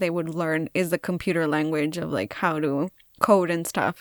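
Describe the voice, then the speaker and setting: The woman talks at a fairly quick pace. Her recording is very clean, and the background is silent. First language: bilingual Spanish and English. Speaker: craft youtuber. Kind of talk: voiceover tutorial chat. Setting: recorded voiceover. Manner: casual, rambling with fillers. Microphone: new microphone.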